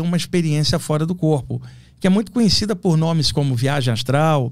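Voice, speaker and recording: Speaking in an ordinary speaking voice, a man uses a fairly high pitch with ordinary pitch variation. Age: 60s. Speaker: astral projection specialist. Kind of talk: podcast interview.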